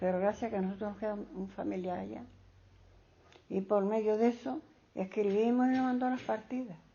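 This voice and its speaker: Long, frequent pauses break up a somewhat breathy voice with ordinary pitch variation. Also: woman, medium pitch for a woman, fairly quick pace. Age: 80s+. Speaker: elderly interviewee. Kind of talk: oral history interview. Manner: halting.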